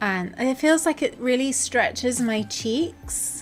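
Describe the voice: The speaker talks at a very slow pace while music plays in the background. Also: woman. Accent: southern English.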